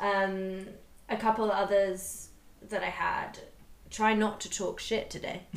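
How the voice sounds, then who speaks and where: Speaking at a very slow pace with long, frequent pauses, a woman keeps a medium pitch and monotone, flat intonation, with audible room echo and noticeable background noise. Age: 30s. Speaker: podcast co-host. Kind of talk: casual chat.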